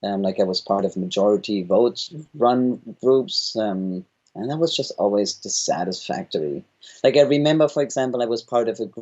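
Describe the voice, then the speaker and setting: A German accent with very wide pitch swings at a moderate pace. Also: man, medium pitch for a man. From Germany. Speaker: founder of a governance organization. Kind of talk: interview.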